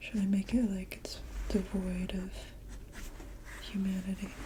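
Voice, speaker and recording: Soft-spoken speech comes through over noticeable background noise. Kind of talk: ASMR painting ramble. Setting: home studio with microphone.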